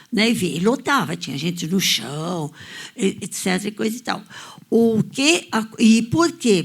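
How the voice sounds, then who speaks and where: Recorded very cleanly against a silent background, a woman talks at a fairly slow pace in a somewhat breathy, medium-pitched voice with lively intonation. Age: 80s+. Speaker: audience member. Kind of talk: audience discussion, personal recollection.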